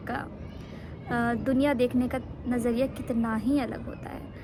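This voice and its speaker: Her tone is relaxed and her pitch high for a woman. Noticeable background noise sits behind her. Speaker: vlogger. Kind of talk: casual vlog talk. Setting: outdoors on rooftop in sun. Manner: relaxed, Hindi-English mix with fillers.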